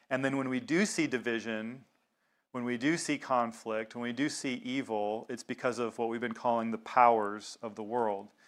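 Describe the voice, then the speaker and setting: A man's medium-pitched voice with an American accent, fairly even intonation, and a moderate pace, in a very clean recording with a silent background. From US South. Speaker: pastor. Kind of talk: sermon. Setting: congregation meeting in a synagogue.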